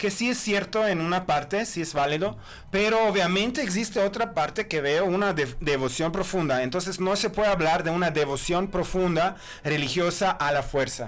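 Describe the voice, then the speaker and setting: A man with a Croatian accent speaks in a high pitch at a moderate pace, with lively intonation and very even loudness. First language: Croatian (speaking Spanish). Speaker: author and historian. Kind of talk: podcast interview. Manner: halting.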